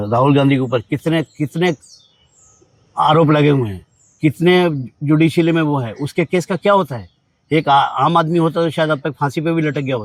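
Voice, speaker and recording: The sound is dry and close, without echo. The pace is moderate and the pitch varies in an ordinary way. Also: man, fairly high pitch for a man. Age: 60s. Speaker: interviewee with legal grievance. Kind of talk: interview. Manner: halting.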